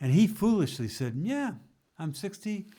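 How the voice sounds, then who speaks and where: In a very clean recording with a silent background, a man with an American accent speaks at a moderate pace. His tone is dark and mellow, with very wide pitch swings. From US South. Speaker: theologian and author. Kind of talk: casual interview. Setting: at home. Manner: halting.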